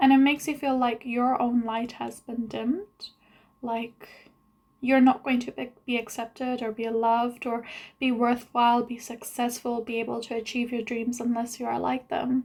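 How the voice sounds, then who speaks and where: Mumbling at a moderate pace, a woman with a high pitch keeps a monotone, flat intonation. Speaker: vlogger. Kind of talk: video diary monologue. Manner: long pauses.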